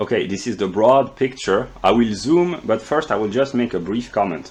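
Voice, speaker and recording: A man talks with a French accent at a moderate pace. His intonation is lively. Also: medium pitch for a man. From France. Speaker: philosophy video creator. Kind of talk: lecture. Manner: halting.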